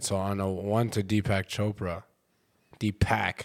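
In a very clean recording with a silent background, a man talks at a fairly low pitch with monotone, flat intonation. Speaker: comedian. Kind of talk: casual chat. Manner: quiet.

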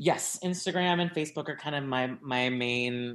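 A man's medium-pitched voice with ordinary pitch variation, on a very clean recording over a silent background. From South Louisiana, Cajun. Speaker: actor and LGBTQ advocate. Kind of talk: casual interview chat.

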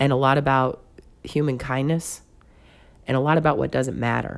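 With a Mississippi accent, a woman speaks in a very deep, low pitch and a monotone, flat intonation. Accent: Southern US (Mississippi). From US South, Mississippi Gulf Coast (Pascagoula). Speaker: podcast co-host. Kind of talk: casual chat.

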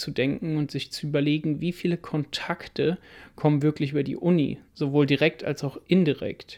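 Recorded very cleanly against a silent background, a man with an ordinary speaking voice talks at a moderate pace, his fairly high pitch carried by fairly even intonation. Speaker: podcast co-host, student entrepreneur. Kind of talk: casual chat.

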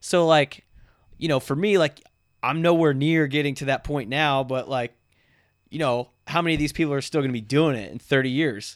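The recording is very clean, with a silent background. A man with an unremarkable speaking voice, a fairly high pitch and ordinary pitch variation talks at a moderate pace. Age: 20s. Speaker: fitness podcast host and trainer. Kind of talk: casual chat.

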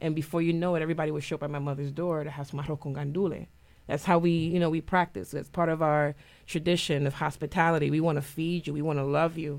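This woman's voice sits at a very deep, low pitch. She talks at a very fast pace in a monotone, flat intonation. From Puerto Rico, later raised in New Haven. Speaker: musical theater performer. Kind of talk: radio interview. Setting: radio studio.

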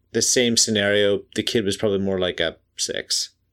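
A man's fairly low voice at a moderate pace, in a very clean recording with a silent background. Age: 30s. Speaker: podcast host reviewing TV episodes. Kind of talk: casual chat. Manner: hesitant with many fillers.

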